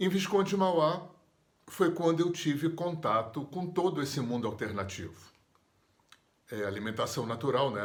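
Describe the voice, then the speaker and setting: A man speaks at a moderate pace with very wide pitch swings. Room echo is audible. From Brazil, Rio de Janeiro. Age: 60s. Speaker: therapist and yoga teacher. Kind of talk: personal storytelling interview.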